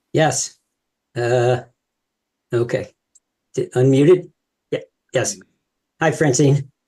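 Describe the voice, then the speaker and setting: A man speaks at a very slow pace, leaving long, frequent pauses. His voice is somewhat breathy, with a dark, mellow tone. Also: fairly high pitch for a man, ordinary pitch variation. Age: 70s. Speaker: audience member. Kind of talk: Q&A question.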